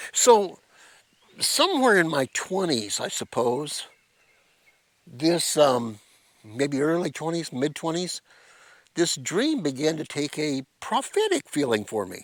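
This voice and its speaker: A man talks at a very slow pace, leaving long, frequent pauses. His intonation is lively. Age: 60s. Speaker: pastor. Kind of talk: devotional talk. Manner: halting.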